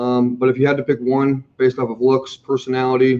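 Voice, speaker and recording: A man of medium pitch in a dark, mellow tone at a moderate pace. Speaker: healthcare staffing recruiter. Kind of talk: live Q&A stream. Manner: loud; animated.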